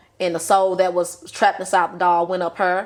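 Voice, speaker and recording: A woman with a Southern US accent, medium in pitch, at a moderate pace. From US South. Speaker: podcast guest, aspiring writer. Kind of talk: casual chat.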